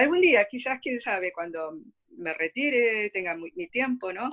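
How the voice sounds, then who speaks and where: A woman with a medium-pitched voice talks fairly quickly, her intonation lively. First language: Korean (Spanish dominant) (speaking Spanish). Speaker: literary translator. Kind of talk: interview Q&A. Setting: video call. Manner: halting, many fillers and repeats.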